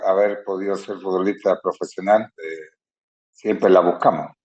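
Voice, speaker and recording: Fairly low in pitch, a man speaks at a fairly slow pace in a plain, everyday voice. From Chile. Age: 60s. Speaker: retired footballer. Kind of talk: interview.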